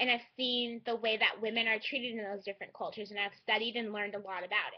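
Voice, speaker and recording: In a Californian accent, a woman talks at a very fast pace and a fairly high pitch, with monotone, flat intonation and big swings in loudness. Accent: Californian American English. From California, San Francisco Bay Area. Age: 20s. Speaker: student vlogger. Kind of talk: personal vlog monologue.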